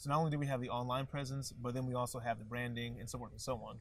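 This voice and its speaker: This man talks at a very fast pace and medium pitch. His voice is somewhat breathy, with fairly even intonation. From Indiana, West Lafayette. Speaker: startup co-founder. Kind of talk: interview.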